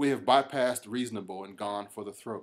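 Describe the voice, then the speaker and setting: In an unremarkable speaking voice, a man talks at a moderate pace with ordinary pitch variation. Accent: American. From United States. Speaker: reverend, gun rights activist. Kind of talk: podcast commentary.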